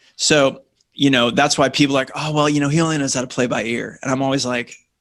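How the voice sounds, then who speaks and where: A man with a plain, everyday voice, fairly high in pitch, fairly quick, and fairly even in intonation. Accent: American. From Southern California, Orange County. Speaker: radio host and songwriter. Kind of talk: radio interview.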